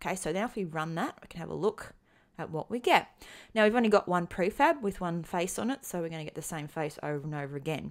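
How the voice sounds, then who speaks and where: Speaking with an Australian accent, a woman has a fairly low pitch in a very clean recording with a silent background. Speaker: programming tutorial instructor. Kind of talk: tutorial. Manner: hesitant, many filler ums.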